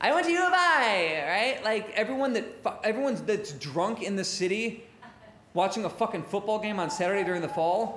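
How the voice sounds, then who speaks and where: A high-pitched male voice with an American accent, very wide pitch swings and a fairly quick pace, over noticeable background noise. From Chicago south suburbs. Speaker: live debate show host. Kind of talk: live stage debate hosting with audience. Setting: stage with audience in a pub.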